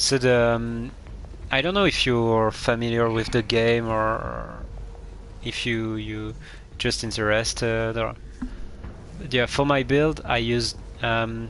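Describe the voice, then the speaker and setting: A man with a French accent speaks at a very slow pace, leaving long, frequent pauses. Audible room echo fills the recording. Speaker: video game streamer. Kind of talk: live gameplay commentary. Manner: halting, many fillers.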